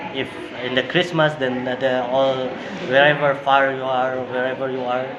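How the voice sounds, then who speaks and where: Over noticeable background noise and audible room echo, a man talks at a moderate pace with monotone, flat intonation. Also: medium pitch for a man. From Indonesia. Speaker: interviewee, Indonesian living abroad. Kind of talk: interview. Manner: halting.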